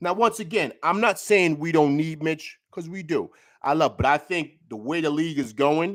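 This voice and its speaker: A man with a New York accent speaks in an animated tone with lively intonation. His fairly high pitch and moderate pace come through in a very clean recording with a silent background. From New York City. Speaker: sports YouTuber. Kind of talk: postgame breakdown. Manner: stutters, repeats words.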